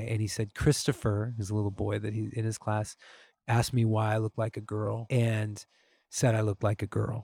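In a very clean recording with a silent background and a dry, close sound with no echo, a man with a fairly low pitch speaks at a fairly quick pace, somewhat breathy, with a dark, mellow tone and monotone, flat intonation. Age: 40s. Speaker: musician and podcaster. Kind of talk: casual chat.

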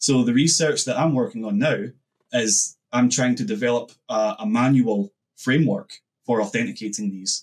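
With a Scottish accent, the speaker uses lively intonation at a moderate pace. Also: man, medium pitch for a man. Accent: Scottish, t-dropping. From Scotland. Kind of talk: casual interview.

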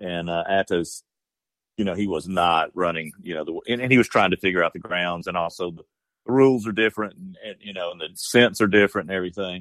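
Very fast delivery in a Georgia accent, with ordinary pitch variation and big swings in loudness. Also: man, very deep, low pitch for a man. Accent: southern US (Georgia). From southwest Georgia, US South. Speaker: bird dog breeder and upland hunter. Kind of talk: casual interview. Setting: phone call. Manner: halting, many fillers.

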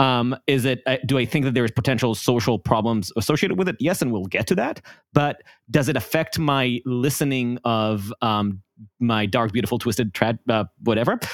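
A man speaks with an Israeli accent at a medium pitch and a moderate pace. His pitch varies in an ordinary way, and the sound is dry and close with no echo. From Israel, Jerusalem. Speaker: podcast co-host. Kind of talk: casual chat.

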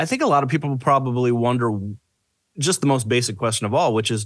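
Over a quiet background, a man speaks in a plain, everyday voice with medium pitch and ordinary pitch variation. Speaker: podcast co-host. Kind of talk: casual interview chat.

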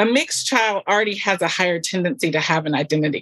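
A woman with an American accent has an ordinary speaking voice at a medium pitch and lively intonation. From US South. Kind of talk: casual chat.

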